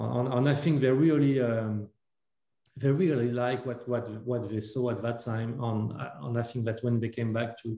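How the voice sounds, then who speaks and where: Dark and mellow in tone, a man speaks with a French accent at a medium pitch and a moderate pace. His voice is somewhat breathy, with fairly even intonation. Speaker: entrepreneur. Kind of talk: panel interview. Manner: halting, many fillers.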